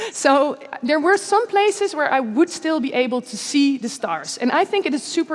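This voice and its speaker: Her pace is fairly quick, and this woman's pitch swings very widely. Noticeable background noise runs underneath. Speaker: scientist and science speaker. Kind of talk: conference talk. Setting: stage with audience in a church. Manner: fast; casual, some stumbling.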